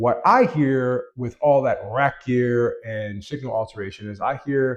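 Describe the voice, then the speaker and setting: A man with a medium pitch speaks at a fairly slow pace. The background is quiet. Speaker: guitar tone tutorial youtuber. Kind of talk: tutorial.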